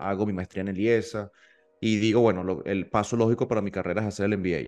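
Against a quiet background, a man speaks at a fairly low pitch with fairly even intonation. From Venezuela, Maturín (eastern interior). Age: 30s. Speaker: petroleum engineer and entrepreneur, MBA student. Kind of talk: casual interview. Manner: halting, frequent repetitions and fillers.

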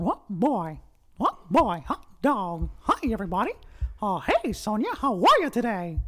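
A put-on character voice at a fairly high pitch and a fairly slow pace. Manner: cheerful, excited.

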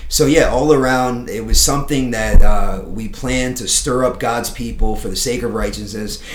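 A man talks at a moderate pace with hardly any pauses and big swings in loudness, over noticeable background noise and audible room echo. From South Florida. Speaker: pastor. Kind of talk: casual chat. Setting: studio.

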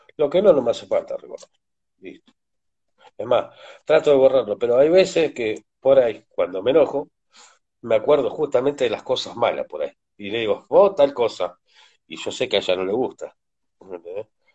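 Male speech, moderately paced, with long, frequent pauses and big swings in loudness. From Argentina, Córdoba province. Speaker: father and partner of a foundation founder. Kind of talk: interview, personal testimony.

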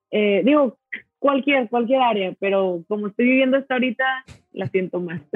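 Ordinary pitch variation marks this woman's speech. Her pace is moderate. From Mexico, Monterrey. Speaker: coffee roaster and barista. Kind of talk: casual interview chat. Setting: video call.

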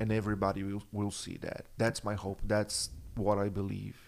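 A man speaks in a monotone with flat intonation. His pace is moderate. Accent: Brazilian Portuguese. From Brazil, São Paulo. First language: Portuguese. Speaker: church worship and production director. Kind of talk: casual chat.

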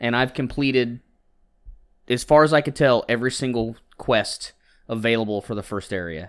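On a very clean recording with a silent background, a man speaks at a medium pitch with ordinary pitch variation and long, frequent pauses. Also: moderate pace. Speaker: video game podcast co-host. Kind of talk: casual chat.

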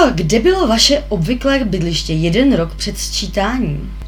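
This woman talks at a moderate pace in a room with audible echo, and noticeable noise sits in the background. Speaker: podcast co-host. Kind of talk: casual chat.

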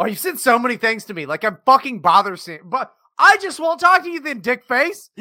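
A man's raised, projected voice at an extremely high pitch, bright and sharp in tone, animated, with very wide pitch swings, big swings in loudness and a fairly quick pace. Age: 30s. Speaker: podcast co-host and producer. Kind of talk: casual banter, crude and joking. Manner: animated, joking, profane.

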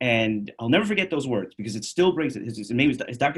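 A somewhat breathy man with an American accent, very wide pitch swings and a moderate pace. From New York City. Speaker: chiropractor. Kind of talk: casual interview.

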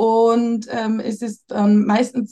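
A woman's voice has a dark, mellow tone at a fairly high pitch. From Bavaria. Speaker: mother seeking family advice. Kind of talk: coaching conversation.

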